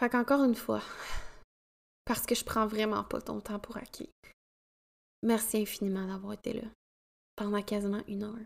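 A woman with a Quebec accent talks at a moderate pace in a fairly high pitch. Her intonation is monotone and flat, with long, frequent pauses. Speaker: podcast host, women's coach. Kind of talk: solo podcast monologue.

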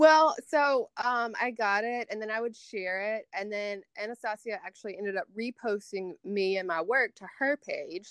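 With a Southern US accent, a woman speaks at a moderate pace with hardly any pauses, her fairly high pitch showing ordinary variation and her loudness swinging widely, in a dry, close sound with no echo against a quiet background. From Tupelo, Mississippi, US South. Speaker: beauty influencer and makeup artist. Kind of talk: casual chat.

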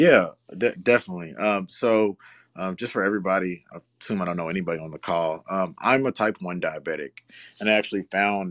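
With an American accent, a man speaks fairly quickly in a very deep, low pitch with ordinary pitch variation, on a very clean recording with a silent background and a dry, close sound with no echo. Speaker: spirits brand co-founder. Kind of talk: interview. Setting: live audio chat room.

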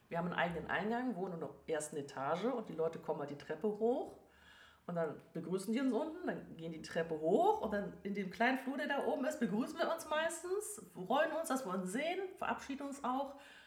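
A woman with a fairly high pitch swings her voice very widely at a fairly quick pace, with noticeable background noise and audible room echo. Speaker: animal communicator. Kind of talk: interview.

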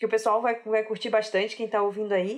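A woman with a Rio de Janeiro accent speaks at a fairly high pitch. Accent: carioca, noticeable. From Rio de Janeiro, Brazil. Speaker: software developer. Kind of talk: casual chat.

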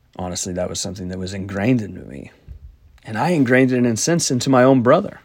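Speaking at a very fast pace, a man uses lively intonation with big swings in loudness. Audible room echo surrounds his voice. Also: medium pitch for a man. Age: 30s. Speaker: podcast host. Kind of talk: solo monologue podcast.

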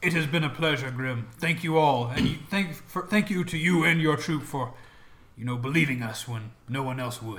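This is a put-on character voice from a man. The pitch is fairly high for him. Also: moderate pace. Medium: actual play. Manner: formal, proud.

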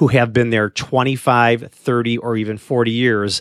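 A man with a normal speaking voice talks at medium pitch and a moderate pace, the sound dry and close with no echo. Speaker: podcast host. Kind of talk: casual conversational podcast. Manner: chatty, interrupts.

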